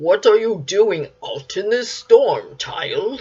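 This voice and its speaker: A man puts on a character voice. He speaks very slowly. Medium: read story.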